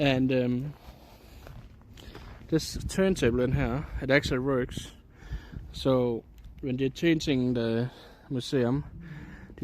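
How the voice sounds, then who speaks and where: A man with a Danish accent speaks at a medium pitch. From Denmark. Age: 30s. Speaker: IRL streamer. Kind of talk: casual live-stream chat. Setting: outdoors. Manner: hesitant, with frequent fillers.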